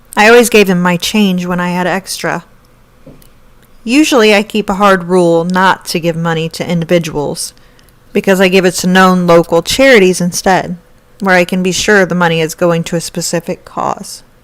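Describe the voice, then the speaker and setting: A woman with an unremarkable speaking voice keeps to a medium pitch, a moderate pace and fairly even intonation. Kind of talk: first-person story narration.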